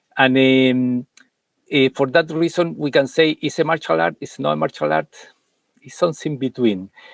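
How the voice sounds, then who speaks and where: A man talks at a moderate pace with a non-native accent. His pitch is medium. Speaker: martial arts and meditation master. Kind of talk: interview conversation. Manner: halting, many fillers.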